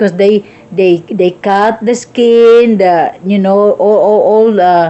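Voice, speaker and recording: With a Visayan Filipino accent, a woman speaks at a medium pitch and with ordinary pitch variation. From Philippines (Visayas). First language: Cebuano (Bisaya). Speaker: cooking vlogger. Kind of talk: cooking tutorial. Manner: halting, many restarts.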